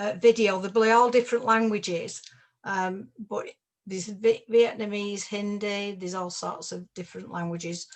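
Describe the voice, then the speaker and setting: A woman with a strong northern English accent speaks at a moderate pace in a medium pitch, her loudness swinging widely while her intonation stays fairly even. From northern England, Salford. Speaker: investment network presenter. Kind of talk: webinar presentation.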